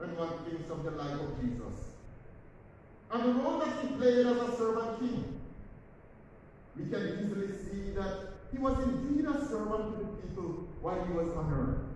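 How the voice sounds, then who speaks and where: A man's voice in a strongly echoing room, pitch swinging very widely, at a moderate pace with long, frequent pauses over light background noise. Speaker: priest. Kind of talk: sermon. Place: church. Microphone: camera far.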